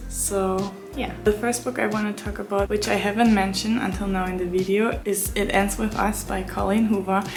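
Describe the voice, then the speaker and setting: A woman with a non-native accent speaks at a moderate pace in a medium pitch, her intonation fairly even, with audible room echo and noticeable background noise. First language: not English. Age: 20s. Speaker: book vlogger. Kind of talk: book review vlog. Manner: casual, hesitant with fillers.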